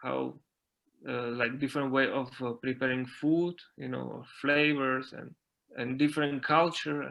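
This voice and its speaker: With a Slovak accent, a man of medium pitch speaks at a fairly slow pace in a flat monotone. His loudness swings widely. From Slovakia, mountain area. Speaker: dancer and dance teacher. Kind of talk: interview. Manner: halting, many fillers and repetitions.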